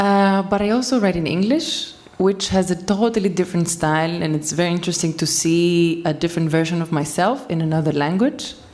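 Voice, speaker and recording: A woman talks at a fairly quick pace with a fairly low pitch and ordinary pitch variation. Noticeable background noise sits behind her. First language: Greek. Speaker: poet. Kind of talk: panel discussion. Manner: halting.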